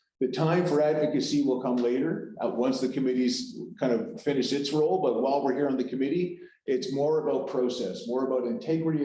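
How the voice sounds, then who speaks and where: Audible room echo surrounds a man talking at a fairly quick pace in a medium pitch. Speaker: meeting facilitator. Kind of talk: committee meeting briefing. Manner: halting, many restarts.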